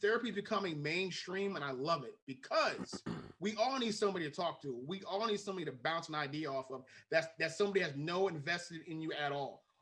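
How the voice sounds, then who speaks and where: A man talks loudly at a very fast pace. His pitch is high, with ordinary variation. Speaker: podcast co-host. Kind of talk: casual chat.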